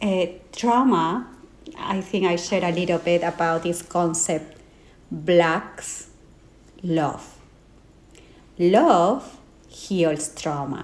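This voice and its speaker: With a Peruvian accent and a fairly low pitch, a woman talks at a very slow pace. Her pitch variation is ordinary, and she leaves long, frequent pauses. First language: Spanish. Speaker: life and trauma coach. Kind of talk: interview. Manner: hesitant with fillers.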